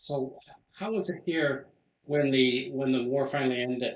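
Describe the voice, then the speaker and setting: A man speaks at a moderate pace, with medium pitch and ordinary pitch variation. He has a plain, everyday voice. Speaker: local history society interviewer. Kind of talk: interview questions.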